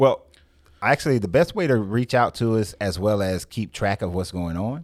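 This man has a normal speaking voice with an American accent and a fairly low pitch. He keeps a moderate pace and lively intonation. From US South, Marietta, Georgia. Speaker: small business owner and Marine veteran. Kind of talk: radio interview. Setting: radio studio.

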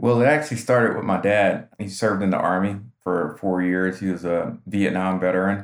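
An ordinary speaking voice from a man, at a fairly quick pace with hardly any pauses and ordinary pitch variation. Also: fairly low pitch for a man. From North Carolina. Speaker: military veteran and business coach. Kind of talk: interview conversation.

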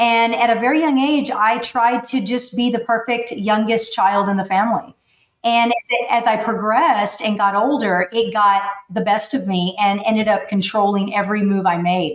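A woman with an American accent, a normal speaking voice, fairly high-pitched, at a moderate pace with ordinary pitch variation and very even loudness. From Texas, McAllen (Rio Grande Valley). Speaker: life coach and motivational speaker. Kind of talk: personal testimony in interview.

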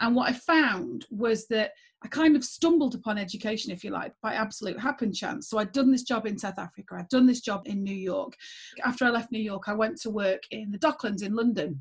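Somewhat breathy, a woman talks at a fairly quick pace with fairly high pitch and ordinary pitch variation. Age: 40s. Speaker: former school principal and geography teacher. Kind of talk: interview conversation.

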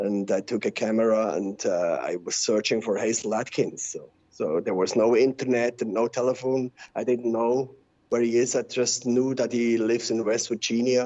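Speaking with a Swiss German accent, a man keeps a moderate pace, medium pitch and fairly even intonation. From Switzerland. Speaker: musician and record label owner. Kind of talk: casual interview.

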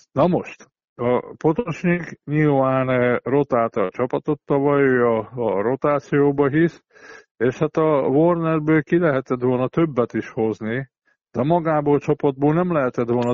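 A man at a fairly slow pace and medium pitch, with ordinary pitch variation. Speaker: basketball coach and pundit. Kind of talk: casual sports analysis chat. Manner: halting with frequent fillers.

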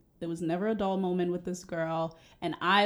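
A woman with an American accent speaks at a fairly quick pace in a normal speaking voice, fairly low in pitch with fairly even intonation. The recording is very clean, with a silent background. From Cameroon, West Africa, then Boston from age 11. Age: young. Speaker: podcast co-host, healthcare worker. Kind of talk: casual chat.

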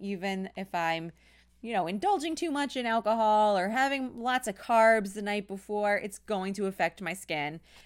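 In a very clean recording with a silent background, the voice moves with ordinary pitch variation. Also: woman. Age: 30s. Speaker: teacher and beauty podcaster. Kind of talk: casual monologue.

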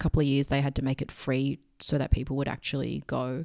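A woman's dark, mellow voice at a very fast pace, dry and close with no echo, on a very clean recording with a silent background. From Hong Kong. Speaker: musician. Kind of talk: casual chat. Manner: chatty.

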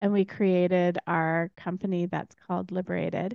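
Delivered with a Canadian accent, the speech has monotone, flat intonation. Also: woman. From Alberta, Canada. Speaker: entrepreneur. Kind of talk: casual chat.

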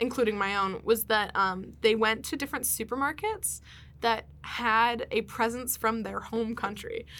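This woman's fairly high voice has a bright, sharp tone and ordinary pitch variation. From Pennsylvania, US. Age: 20s. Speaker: podcast guest. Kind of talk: casual chat. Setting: studio. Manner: fast.

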